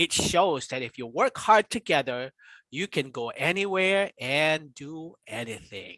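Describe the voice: Lively intonation in plain reading aloud, the background quiet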